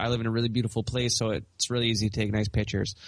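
A man with a Western Canadian accent speaks at a medium pitch. His intonation is monotone and flat. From Canada, British Columbia. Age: 20s. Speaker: urban farmer. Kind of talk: interview conversation.

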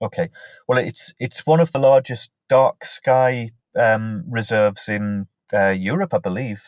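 A man with a Northumbrian accent is heard in a dry, close sound with no echo on a very clean recording with a silent background. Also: medium pitch for a man, ordinary pitch variation, fairly slow pace. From northern England, Northumberland. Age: 40s. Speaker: mental health nurse. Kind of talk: casual interview.

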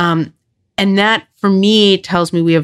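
A woman speaks with ordinary pitch variation in a dry, close recording with no echo, very clean against a silent background. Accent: slight New York. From Long Island, New York. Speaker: nonprofit CEO. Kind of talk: interview.

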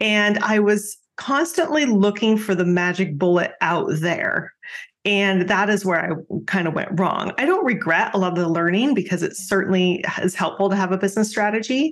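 At a moderate pace, a plain, everyday voice speaks with ordinary pitch variation and very even loudness. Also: woman, medium pitch for a woman. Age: 50s. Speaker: business coach. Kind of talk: casual interview.

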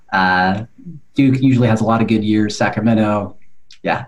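A man with an American accent speaks at a moderate pace. His pitch is fairly low with ordinary variation, in an ordinary speaking voice. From California. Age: 40s. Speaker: podcast host. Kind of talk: interview.

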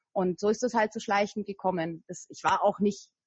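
A woman speaks at a moderate pace, sounding somewhat breathy. Her intonation is monotone and flat. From Franconia, Germany (Nuremberg). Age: 30s. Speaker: weight loss coach. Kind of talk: interview.

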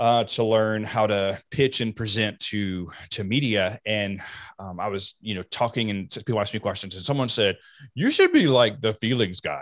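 The recording is very clean, with a silent background and a dry, close sound with no echo. A man with a plain, everyday voice speaks at a moderate pace, with fairly low pitch and ordinary pitch variation. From US South. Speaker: mental health speaker. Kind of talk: interview.

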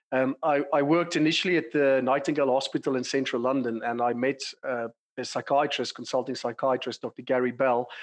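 This man speaks with a South African accent at a medium pitch. His intonation stays fairly even. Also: fairly quick pace, quiet background. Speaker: clinical psychologist and company director. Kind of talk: casual interview conversation.

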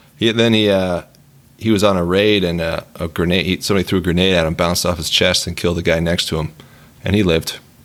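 The delivery is very fast. The intonation stays monotone and flat. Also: man, very deep, low pitch for a man. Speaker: military service member. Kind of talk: casual chat.

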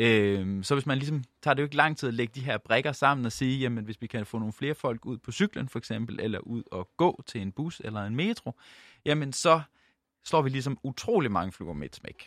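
At a moderate pace, a man speaks with medium pitch and ordinary pitch variation in a dry, close sound with no echo on a very clean recording with a silent background. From Jutland, Denmark. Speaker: doctor and researcher. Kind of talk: interview. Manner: halting.

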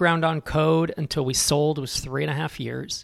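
A man talks at a moderate pace in a normal speaking voice, fairly high in pitch. The recording is very clean, with a silent background. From California. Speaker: startup founder and investor. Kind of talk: interview conversation.

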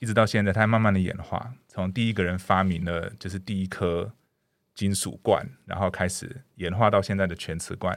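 Over a silent background in a very clean recording, a man with a very deep, low pitch talks at a moderate pace with fairly even intonation. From Canada. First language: English (speaking Chinese). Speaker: dentist. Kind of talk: interview. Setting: studio. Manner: hesitant with frequent fillers.

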